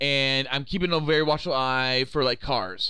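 A man has an unremarkable speaking voice of medium pitch. He talks at a moderate pace with ordinary pitch variation. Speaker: podcast host. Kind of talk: casual comedic banter.

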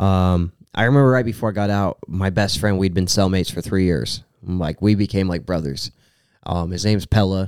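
A man's fairly low-pitched, plain, everyday voice at a fairly quick pace with ordinary pitch variation, in a very clean recording with a silent background. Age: 20s. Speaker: rapper. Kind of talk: casual chat.

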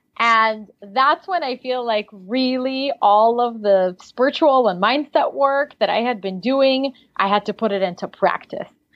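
A woman with a slight Russian accent speaks at a high pitch and a fairly slow pace, with ordinary pitch variation. She leaves hardly any pauses. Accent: slight Russian accent in American English. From Siberia, Russia. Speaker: life coach. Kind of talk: interview.

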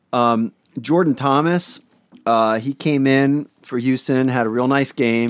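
In a Northeast Pennsylvania accent, a man of medium pitch speaks fairly slowly with fairly even intonation. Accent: Northeast Pennsylvania, drops the G on -ing. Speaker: fantasy football podcast co-host. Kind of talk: casual banter about fantasy football.

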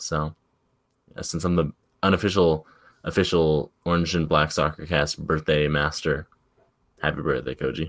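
In a very clean recording with a silent background and a dry, close sound with no echo, a man speaks at a moderate pace with a very deep, low pitch, vocal fry, monotone, flat intonation and long, frequent pauses. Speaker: soccer podcast co-host. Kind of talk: casual chat.

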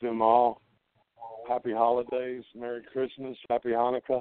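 A man talks at a moderate pace with a medium pitch. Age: 60s. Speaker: retired pro wrestler. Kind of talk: casual interview.

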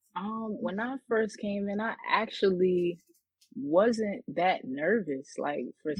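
Here a woman speaks with a New York accent. Her intonation is lively. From Queens, New York. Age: 20s. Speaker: battle rapper. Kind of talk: interview. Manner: hesitant, many fillers.

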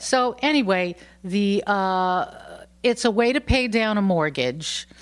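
A woman's lively intonation on a very clean recording with a silent background. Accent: New York. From New York. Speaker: bed and breakfast owner, former singer-songwriter. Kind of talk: casual interview. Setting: at her home.

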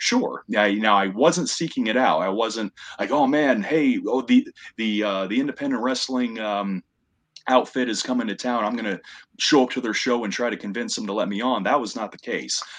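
Speaking at a moderate pace, the man keeps a medium pitch that varies in an ordinary way. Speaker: ring announcer and commentator. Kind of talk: casual interview chat.

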